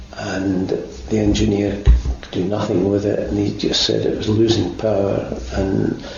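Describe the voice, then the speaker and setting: Speaking at a fairly slow pace with a Scottish accent, a man is heard over noticeable background noise. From Burntisland, Fife, Scotland. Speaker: war veteran, RAF air gunner. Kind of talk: oral history interview answer.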